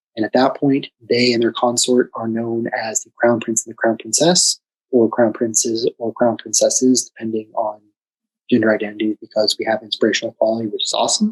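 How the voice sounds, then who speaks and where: Soft-spoken and fairly quick, a man comes through with a dry, close sound that has no echo. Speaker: class instructor. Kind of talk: lecture. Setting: video call. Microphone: too quiet.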